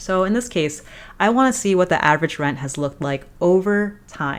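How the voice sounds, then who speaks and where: Lively intonation marks this woman's medium-pitched speech. She has a plain, everyday voice and keeps a moderate pace. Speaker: data analytics educator. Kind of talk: tutorial.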